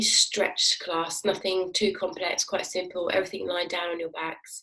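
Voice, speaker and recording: Fairly low in pitch, a woman speaks at a moderate pace. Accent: British. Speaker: fitness instructor. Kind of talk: guided exercise class. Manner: calm, instructive.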